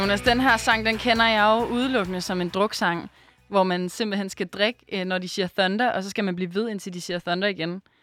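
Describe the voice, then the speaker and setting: In a normal speaking voice, a woman talks at a moderate pace with medium pitch and fairly even intonation, on a very clean recording with a silent background. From Denmark, Aarhus. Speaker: radio host. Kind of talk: casual chat.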